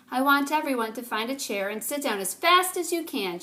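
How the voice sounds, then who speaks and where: Putting on a character voice, a woman talks at a fairly quick pace in a high pitch with very wide pitch swings. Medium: read story.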